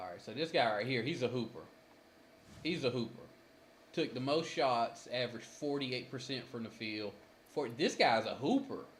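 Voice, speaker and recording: A man with a somewhat breathy, medium-pitched voice talks at a moderate pace, with ordinary pitch variation and long, frequent pauses. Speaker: gaming streamer. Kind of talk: gameplay commentary.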